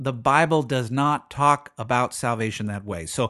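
Here a man talks with lively intonation. The background is quiet. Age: 40s. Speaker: pastor and podcast host. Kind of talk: solo podcast teaching monologue.

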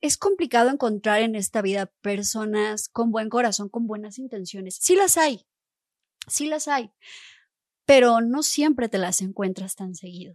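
A woman's plain, everyday voice, fairly high in pitch, with lively intonation, big swings in loudness and a fairly slow pace, dry and close with no echo over a quiet background. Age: 30s. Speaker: vocal coach. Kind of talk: interview.

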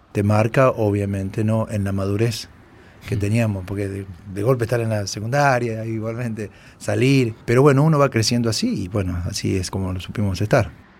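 A plain, everyday voice from a man, fairly low in pitch, at a moderate pace with fairly even intonation. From Argentina, Córdoba province. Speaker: war veteran. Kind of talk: interview testimony.

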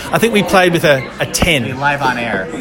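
Over noticeable background noise, a man with an Australian accent talks very fast at a fairly high pitch with lively intonation. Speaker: football fan. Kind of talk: casual chat about a football match. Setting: pub. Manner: hesitant, filler-heavy.

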